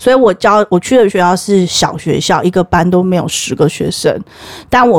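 A woman's animated voice at medium pitch and moderate pace, with ordinary pitch variation and a dry, close sound with no echo. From Taiwan. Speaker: history teacher. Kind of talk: casual chat.

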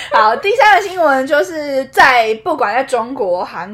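Her high voice animated and full of very wide pitch swings, a woman speaks at a fairly slow pace through noticeable background noise. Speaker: podcast co-host. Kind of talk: casual chat. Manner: animated, frequent laughter.

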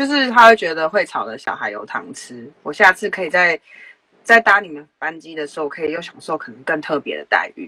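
A fairly low-pitched woman's voice, bright and sharp in tone, at a fairly quick pace, with very wide pitch swings, big swings in loudness and a dry, close sound with no echo. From Taiwan. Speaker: former flight attendant. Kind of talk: interview.

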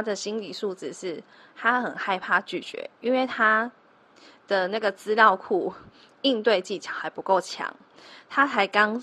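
This voice has a Taiwanese accent and a bright, sharp tone. The pace is fairly slow. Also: woman. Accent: Taiwanese Mandarin. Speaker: telemarketing trainer and podcast host. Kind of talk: solo podcast tutorial.

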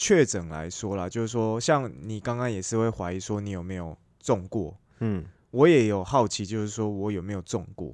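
In a very clean recording with a silent background, a man with a Taiwanese accent speaks at a moderate pace and a fairly low pitch. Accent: Taiwanese Mandarin. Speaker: podcast co-host. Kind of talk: casual chat.

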